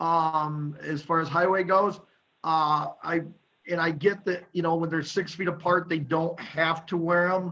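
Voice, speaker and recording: A loud, high-pitched male voice, bright and sharp in tone, fairly slow and monotone with flat intonation. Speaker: county supervisor. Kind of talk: committee meeting discussion.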